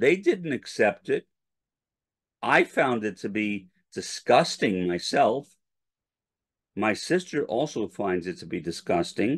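Over a quiet background, a man of medium pitch speaks at a very slow pace, leaving long, frequent pauses and swinging his pitch very widely. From New York City. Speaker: academic commentator. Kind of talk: scripted narration.

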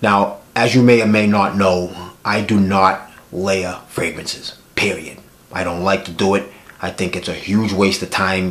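A man's fairly low, monotone, flat voice comes through noticeable background noise. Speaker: fragrance reviewer. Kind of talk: casual talk to camera.

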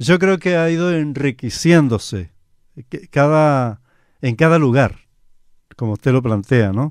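Against a quiet background, a man talks at a fairly slow pace with lively intonation in a dry sound with no echo. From Chile (Talcahuano, Concepción); Chile. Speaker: radio announcer. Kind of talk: radio interview. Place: studio. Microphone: studio mic.

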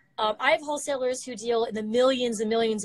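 A woman talks at a fairly quick pace over a quiet background. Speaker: remote guest. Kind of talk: interview answer, product explanation. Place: office. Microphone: video call.

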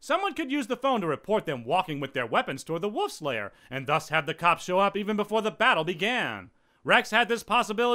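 Lively intonation in a plain reading aloud

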